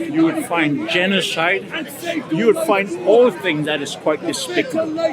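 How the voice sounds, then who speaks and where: With crowd noise behind him and audible room echo, a man speaks at a fairly slow pace in a high voice that makes very wide pitch swings. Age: 80s+. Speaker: non-religious member of the public. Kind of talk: street debate. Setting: outdoors at a public speaking park. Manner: halting.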